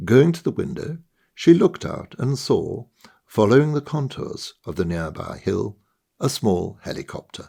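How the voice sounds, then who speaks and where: Man's voice with vocal fry, very wide pitch swings and big swings in loudness. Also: moderate pace. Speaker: author. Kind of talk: short story reading.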